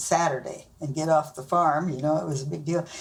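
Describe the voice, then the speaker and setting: A woman with a Midwestern US accent talks with ordinary pitch variation. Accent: rural Midwestern American. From Nebraska, rural US Midwest. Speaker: grandmother being interviewed. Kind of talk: family interview, storytelling.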